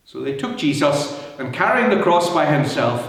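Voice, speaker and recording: There is noticeable background noise. A man speaks at a fairly high pitch. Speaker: church minister reading scripture. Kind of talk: scripture reading, Good Friday Passion narrative.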